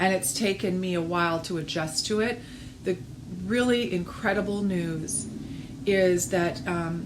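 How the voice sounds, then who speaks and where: Recorded with audible room echo and noticeable background noise, a woman talks at a fairly slow pace in a medium-pitched voice. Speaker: pilates instructor and studio owner. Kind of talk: video message to clients. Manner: hesitant, many fillers.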